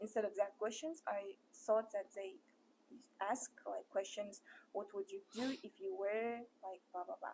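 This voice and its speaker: A woman speaks with a Kazakh accent in a dark, mellow tone. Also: ordinary pitch variation, fairly slow pace. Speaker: interviewer. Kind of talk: interview.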